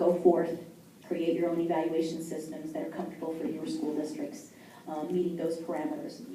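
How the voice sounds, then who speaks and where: Through noticeable background noise and audible room echo, a woman speaks with fairly even intonation. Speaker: state school superintendent. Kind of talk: conference talk and Q&A. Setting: stage with audience.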